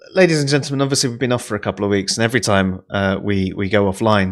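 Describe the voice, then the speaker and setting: A man speaks loudly at a fairly quick pace. Behind him, the background is silent on a very clean recording. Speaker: online talk show co-host. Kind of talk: casual chat.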